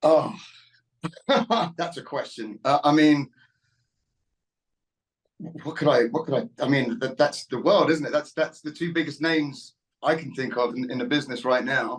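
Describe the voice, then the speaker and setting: With a British accent, a man at a fairly high pitch talks at a moderate pace, using ordinary pitch variation and long, frequent pauses. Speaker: country singer. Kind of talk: interview answer. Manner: casual, hesitant.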